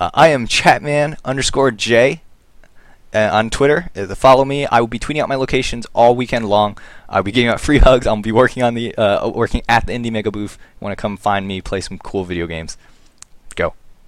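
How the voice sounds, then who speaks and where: A man with an unremarkable speaking voice talks at a fairly quick pace, at a medium pitch with ordinary pitch variation. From US, raised in America. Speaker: podcast host. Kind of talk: casual chat. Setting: Skype call.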